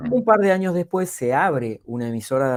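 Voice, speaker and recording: A man with a Rioplatense accent speaks at a fairly quick pace, his intonation lively. The sound is dry and close, with no echo. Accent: Argentine Spanish (rioplatense, voseo). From Argentina. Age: 60s. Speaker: public speaking coach and speaker. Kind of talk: podcast interview.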